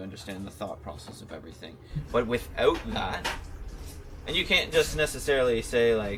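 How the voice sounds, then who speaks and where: Over noticeable background noise, a man with a fairly low pitch talks at a fairly quick pace, his intonation lively and his loudness swinging widely. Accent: Canadian. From Ontario, Canada. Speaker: chef and restaurant owner. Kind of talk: interview answer. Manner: casual, conversational.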